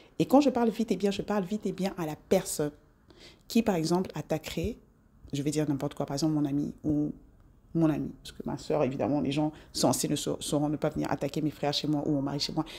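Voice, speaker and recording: A woman speaks very fast in a very deep, low voice with a dark, mellow tone and lively intonation. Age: 40s. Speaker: self-improvement vlogger. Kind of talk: casual monologue to camera. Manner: animated.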